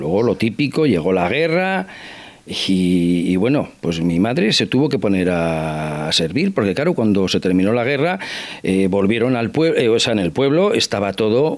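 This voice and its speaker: An unremarkable speaking voice with lively intonation at a fairly slow pace. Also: man. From Basque Country (Irun area). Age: 60s. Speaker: interview guest. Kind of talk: TV interview. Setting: at his home.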